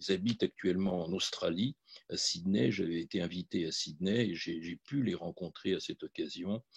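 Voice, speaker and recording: This man speaks with a Polish accent at a fairly low pitch. The sound is dry and close with no echo, over a quiet background. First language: Polish (speaking French). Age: 70s. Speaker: physician and Holocaust memory advocate. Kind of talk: testimony. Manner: halting, many hesitations.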